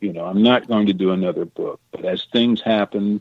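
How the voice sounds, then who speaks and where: A man with an American accent has a plain, everyday voice and fairly even intonation. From Missouri. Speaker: treasure diver and author. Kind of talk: radio interview. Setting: radio show.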